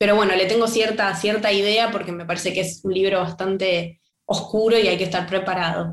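A woman's voice with fairly even intonation. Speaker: writer and playwright. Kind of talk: interview conversation. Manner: halting, many repetitions.

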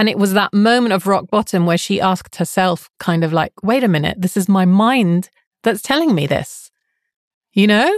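A woman speaks in a plain, everyday voice at medium pitch and a moderate pace, with ordinary pitch variation. Her loudness stays very even, and the sound is dry and close with no echo. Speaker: life coach and podcast host. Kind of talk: interview, conversational.

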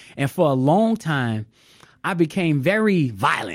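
In a very clean recording with a silent background, a man with an American accent uses a normal speaking voice, fairly high in pitch, with lively intonation. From US South, New Orleans, Louisiana. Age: 40s. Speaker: artist. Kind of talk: casual chat.

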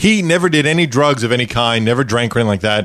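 Speaking in a New York accent, a man keeps his intonation lively. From Brooklyn, New York. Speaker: podcast host. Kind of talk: casual interview chat.

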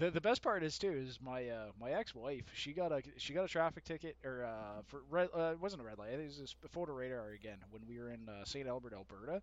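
A man with a Canadian accent and an ordinary speaking voice talks at a fairly quick pace and a medium pitch, with lively intonation, big swings in loudness and hardly any pauses. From Canada (Winnipeg). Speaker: podcast guest. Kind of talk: casual chat.

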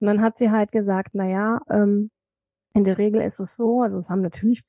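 Her voice is an unremarkable speaking voice, medium in pitch for a woman. She keeps a moderate pace and fairly even intonation. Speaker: author and cancer survivor. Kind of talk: interview, personal testimony.

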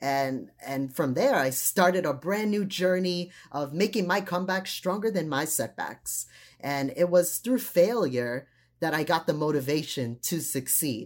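A woman speaks fairly slowly in a fairly low voice. Her tone is animated and her intonation lively. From US (Trinidadian immigrant family). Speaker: graduate student and motivational speaker. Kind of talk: interview. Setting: video call.

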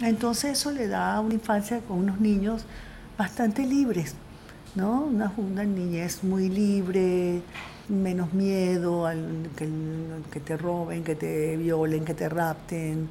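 A woman speaks at a very slow pace in a fairly low pitch. Room echo is audible. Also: ordinary pitch variation. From Venezuela (Coro family). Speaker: film director. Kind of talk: interview.

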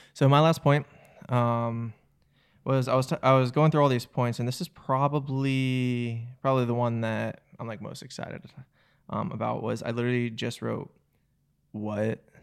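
A man with a plain, everyday voice, medium pitch, moderate pace and fairly even intonation. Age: 30s. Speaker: filmmaker and actor, podcast co-host. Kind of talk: casual chat.

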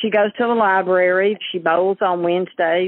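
A woman with an Alabama accent speaks at a moderate pace and a medium pitch. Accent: Southern US (Alabama). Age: 60s. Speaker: churchgoer and caregiver. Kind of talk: personal testimony.

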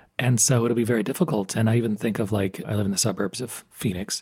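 A man with an American accent speaks at a fairly quick pace in a medium pitch, his voice somewhat breathy. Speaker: podcast host, professor. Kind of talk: interview.

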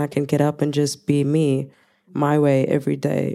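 The voice has a dark, mellow tone and a Zulu accent. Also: woman. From South Africa. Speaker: music producer and performer. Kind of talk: panel discussion.

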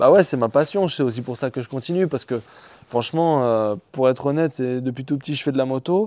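A man's dark, mellow voice at a medium pitch, with a fairly quick pace and ordinary pitch variation. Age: 20s. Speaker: motorcycle racer. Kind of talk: interview. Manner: halting, many repetitions and fillers.

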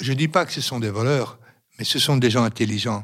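A man's medium-pitched voice comes through on a very clean recording, silent background. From Yugoslavia (Roma), raised in Belgium from age 5. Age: 60s. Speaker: retiree. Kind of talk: interview testimony.

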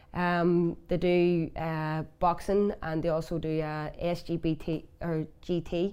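A woman with a Belfast accent, fairly low in pitch, with a dark, mellow tone, monotone and flat, very slow, with hardly any pauses. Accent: Belfast Northern Irish. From West Belfast, Northern Ireland. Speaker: former camogie player. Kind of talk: interview.

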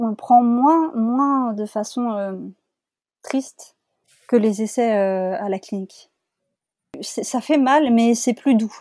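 A very clean recording with a silent background of a woman's fairly high voice, dark and mellow in tone, with ordinary pitch variation, a very slow pace and long, frequent pauses. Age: 30s. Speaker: podcast guest sharing fertility journey. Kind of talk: testimony. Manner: halting.

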